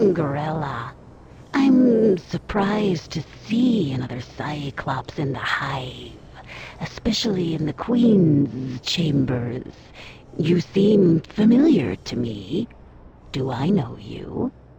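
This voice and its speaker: Very slow speech from a put-on character voice pitched in the middle range. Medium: video game.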